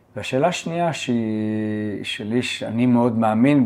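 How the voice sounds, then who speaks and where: This man has a normal speaking voice, medium in pitch for a man, with fairly even intonation. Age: 50s. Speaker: podcast host and accountant. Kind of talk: podcast interview.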